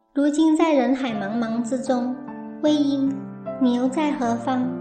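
Music plays in the background. The speech moves at a fairly slow pace with fairly even intonation. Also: woman. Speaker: TV drama commentator. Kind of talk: TV drama analysis narration.

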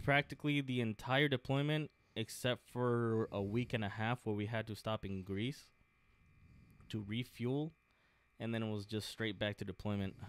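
This man has an ordinary speaking voice with an American accent, a medium pitch, and ordinary pitch variation. He talks at a moderate pace, and the sound is dry and close with no echo. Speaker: Marine Corps veteran, aviation mechanic. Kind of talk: casual interview.

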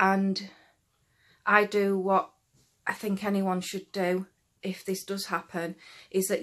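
This is a woman's voice. She speaks at a fairly slow pace. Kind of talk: casual vlog chat, advice. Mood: serious, earnest. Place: home room. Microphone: phone near.

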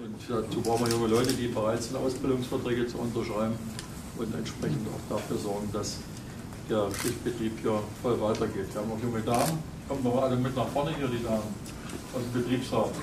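Fairly quick speech over noticeable background noise. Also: man. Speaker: visiting politician. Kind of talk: informal speech to workers. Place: hall. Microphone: camera far.

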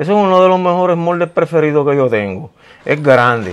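Very wide pitch swings accompany speech at a fairly quick pace. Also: man. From Puerto Rico, Ponce; Puerto Rico. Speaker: craftsman, carnival mask maker. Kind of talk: interview. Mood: proud, earnest. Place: garage. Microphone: lapel.

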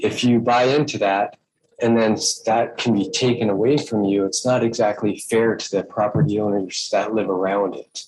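At a fairly slow pace, a man speaks at medium pitch with ordinary pitch variation. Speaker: public commenter at planning meeting. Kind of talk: public testimony. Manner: halting.

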